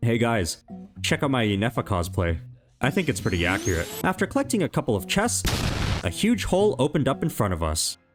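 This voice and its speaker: A man's very fast delivery with very wide pitch swings, over music in the background. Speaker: gaming YouTuber. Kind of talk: comedic scripted gameplay narration. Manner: animated, joking.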